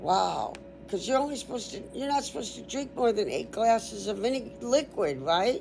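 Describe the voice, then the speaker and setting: The speaker talks at a moderate pace with vocal fry. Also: woman. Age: 60s. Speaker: YouTuber teaching an informal biology class. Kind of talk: casual sign-off to viewers; informal online class reading and commenting on a text. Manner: chatty, conversational.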